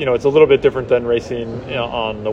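A man speaks with an American accent at a medium pitch. Noticeable background noise runs behind him. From Washington State, US. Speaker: sports communications manager, former Olympic skier. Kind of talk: interview. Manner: hesitant, many fillers.

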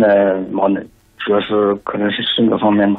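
His pitch sits fairly low. The man's delivery is fairly slow. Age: 30s. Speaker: caller. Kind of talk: phone-in consultation.

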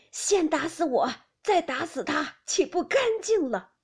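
Using a put-on character voice, a woman speaks in a raised, projected, shaky voice at an extremely high pitch and a fairly slow pace. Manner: trembling, angry.

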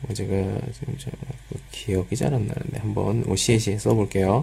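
Amid noticeable background noise, a man with a fairly low pitch talks at a fairly quick pace with lively intonation. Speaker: Korean language teacher. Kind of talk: lecture. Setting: live stream with chat.

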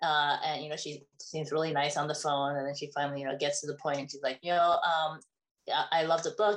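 A woman is speaking. Her pace is fairly quick. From Taiwan, raised in US. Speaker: children's book author. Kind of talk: interview. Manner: hesitant with many fillers.

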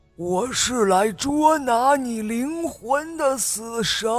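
Over faint music in the background, a man uses a put-on character voice that is raspy and hoarse, with an extremely high pitch, lively intonation and a very slow pace. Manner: menacing, disguised.

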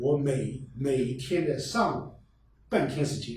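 A somewhat breathy, medium-pitched male voice with audible room echo. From Fuyang, Zhejiang (rural hills). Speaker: local culture researcher and novelist. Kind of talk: casual chat.

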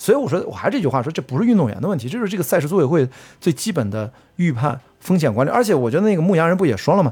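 A man's very fast speech, fairly high in pitch, with very wide pitch swings and vocal fry. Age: 40s. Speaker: trail runner and film producer. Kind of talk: casual interview chat.

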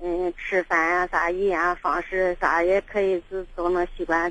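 Bright and sharp in tone, a woman's voice sits at a medium pitch. She talks at a moderate pace. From southern Shaanxi. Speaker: caller. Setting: phone call.

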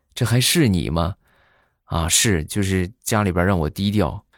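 Very deep, low male speech, very cleanly recorded against a silent background. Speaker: podcast host. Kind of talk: comic storytelling monologue. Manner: animated.

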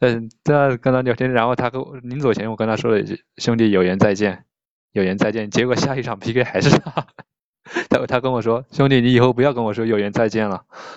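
His intonation stays fairly even. The man speaks at a medium pitch. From Jiangsu, China; Taizhou, Jiangsu. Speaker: live-stream PK opponent. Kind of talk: casual chat. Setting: live-stream link-up call. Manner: casual, awkward small talk.

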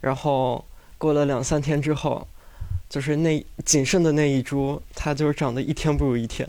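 On a very clean recording with a silent background, a man with a fairly high pitch and dark, mellow tone speaks in a monotone, flat intonation at very even loudness. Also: moderate pace. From Inner Mongolia, China. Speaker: audience member. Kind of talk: storytelling. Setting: stage with live audience.

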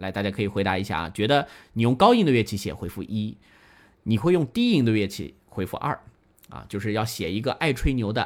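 A man with a plain, everyday voice speaks at a fairly quick pace, his pitch fairly low and his intonation lively. The recording is very clean, with a silent background. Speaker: classical music radio host. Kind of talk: live-streamed music talk show with listener interaction. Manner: casual, many filler particles.

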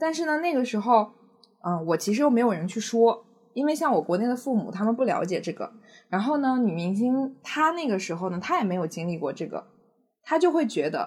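Pitch swings very widely as the speech runs at a fairly quick pace. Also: woman, fairly high pitch for a woman. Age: 20s. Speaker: podcast guest sharing personal love story. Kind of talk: casual interview chat. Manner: hesitant, many fillers.

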